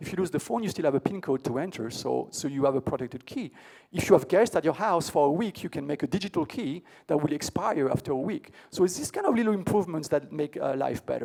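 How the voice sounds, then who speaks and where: With a quiet background, a man speaks at a very fast pace in a fairly high pitch, his dark, mellow tone carried by lively intonation. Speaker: tech conference keynote speaker; conference keynote speaker. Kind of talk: conference talk. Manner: hesitant, many fillers and repeats. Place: hall.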